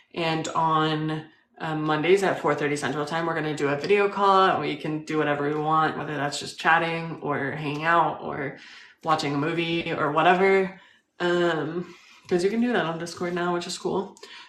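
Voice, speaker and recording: Audible room echo surrounds a woman with a very deep, low pitch. She talks at a moderate pace with fairly even intonation. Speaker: live stream host interviewing strangers. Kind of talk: casual live stream chat. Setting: live video call.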